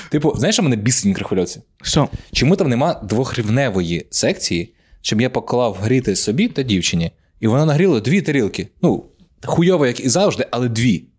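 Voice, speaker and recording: A man's animated, medium-pitched voice with very wide pitch swings, very even loudness and a moderate pace, in a very clean recording against a silent background. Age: 20s. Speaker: stand-up comedian, podcast co-host. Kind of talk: casual chat.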